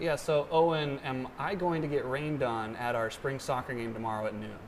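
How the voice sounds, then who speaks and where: Speaking at a fairly quick pace, a man with an American accent uses a medium pitch and ordinary pitch variation against noticeable background noise. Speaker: student desk news anchor. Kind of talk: TV news desk anchor read.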